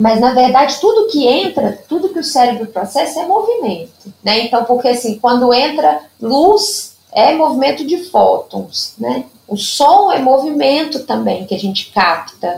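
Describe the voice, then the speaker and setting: Pitched high, a woman speaks at a fairly slow pace with hardly any pauses. Her pitch swings very widely. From Minas Gerais, Brazil (Zona da Mata). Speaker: Padovan method therapist. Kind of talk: interview.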